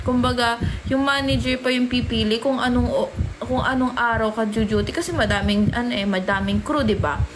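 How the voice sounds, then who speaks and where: A woman talks at a moderate pace while noticeable background noise runs underneath. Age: 20s. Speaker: livestreamer. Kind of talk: casual livestream chat. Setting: livestream.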